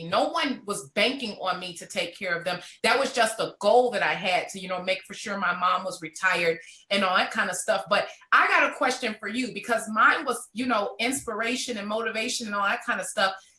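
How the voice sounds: Speaking at a fairly quick pace, a woman uses a medium pitch, ordinary pitch variation and a bright, sharp tone.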